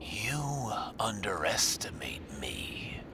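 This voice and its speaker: A man whispering in a put-on character voice over loud background noise. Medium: solo performance. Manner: smug, taunting.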